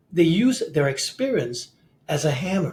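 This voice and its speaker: Animated in tone, a man speaks with very wide pitch swings. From Singapore. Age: 60s. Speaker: CEO coach and author. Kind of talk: podcast interview. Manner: animated, frequent repetitions.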